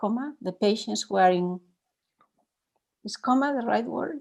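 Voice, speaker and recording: A woman speaks with a Spanish accent at a fairly slow pace. Her pitch varies in an ordinary way. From Spain. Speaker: meditation teacher. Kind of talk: dharma talk with Q&A. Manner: halting.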